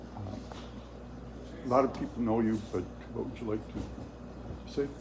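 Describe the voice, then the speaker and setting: Speaking at a fairly slow pace, a man's voice makes very wide pitch swings amid audible room echo. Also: fairly low pitch for a man. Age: 70s. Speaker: interviewer. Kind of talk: interview.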